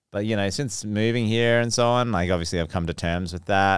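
A man speaks in an Australian accent. His pitch varies in an ordinary way. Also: very clean recording, silent background. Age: 30s. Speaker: DJ and producer. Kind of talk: casual chat.

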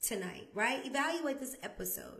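A loud woman's voice, high-pitched, with very wide pitch swings and audible room echo. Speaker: podcast host. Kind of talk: motivational talk.

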